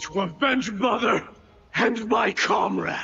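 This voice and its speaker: A put-on character voice from a man, raspy and high-pitched, at a fairly slow pace with ordinary pitch variation over clear background music. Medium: video game. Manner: grave, intense.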